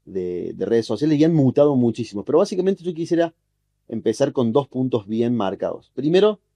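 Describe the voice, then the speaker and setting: Lively intonation marks this man's medium-pitched voice, which has a dark, mellow tone. He keeps a moderate pace, and the sound is dry and close with no echo. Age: 30s. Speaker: journalist and social media specialist. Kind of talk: podcast interview.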